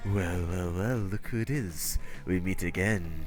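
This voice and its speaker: Put-on character voice from a man, very deep and low in pitch, at a moderate pace with very even loudness over clear background noise. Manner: menacing, theatrical.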